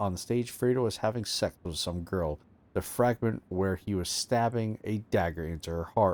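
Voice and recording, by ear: The voice reads aloud naturally. Its pitch rises and falls in an ordinary way.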